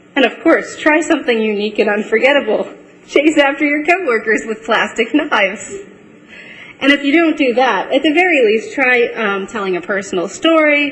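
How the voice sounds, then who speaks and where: The voice swings very widely in pitch at a moderate pace, with noticeable background noise. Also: woman, high pitch for a woman. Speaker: trainer giving a presentation. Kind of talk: live presentation to an audience. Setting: room with audience, filmed, microphones. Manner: uses many ums.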